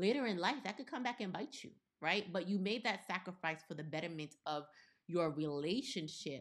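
An ordinary speaking voice, a woman at medium pitch talks at a moderate pace with lively intonation and an American accent. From US, partly Caribbean background. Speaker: podcast co-host. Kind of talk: casual chat.

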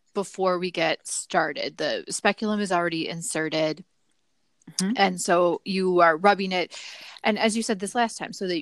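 A woman speaks in a normal speaking voice at medium pitch with ordinary pitch variation. Her moderate pace is heard in a dry, close sound with no echo. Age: 30s. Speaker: podcast host. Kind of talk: casual interview.

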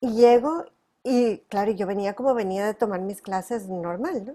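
A woman speaks at medium pitch in a dark, mellow tone with ordinary pitch variation. The recording is very clean, with a silent background. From northern Mexico. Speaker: tap and flamenco dancer and teacher. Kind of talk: interview.

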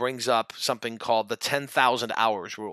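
A man talks at a fairly quick pace with fairly even intonation and a bright, sharp tone. The sound is dry and close with no echo, on a very clean recording with a silent background. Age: 40s. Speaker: sales podcast host. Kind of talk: solo podcast monologue.

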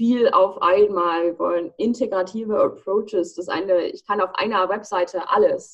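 A woman's plain, everyday voice, medium in pitch, at a fairly slow pace. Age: 20s. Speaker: student and startup founder. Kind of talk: casual interview.

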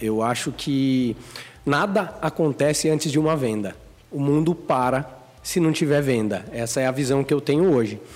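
A normal speaking voice with lively intonation, delivered at a moderate pace. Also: man. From Brazil, Sorocaba (São Paulo state). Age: 20s. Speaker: entrepreneur, clothing brand co-founder. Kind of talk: casual interview chat.

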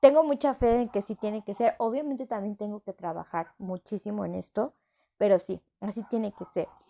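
With a Mexico City accent, a woman speaks at a moderate pace in a fairly high voice with ordinary pitch variation. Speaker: psychologist and podcast host. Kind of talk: solo podcast monologue. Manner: warm, chatty.

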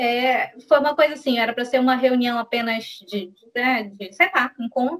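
The pitch of this woman's voice is high, with ordinary variation. She keeps a moderate pace. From Brazil, Belém do Pará. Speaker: schoolteacher and feminist activist. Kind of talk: casual interview.

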